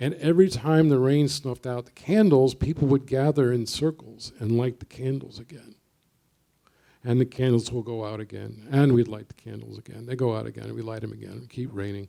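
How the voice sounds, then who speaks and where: With an American accent, a man talks at a moderate pace in a dark, mellow tone. His medium pitch has ordinary variation, and his loudness swings widely. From US Northeast, Brooklyn, New York. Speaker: poet. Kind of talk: panel discussion.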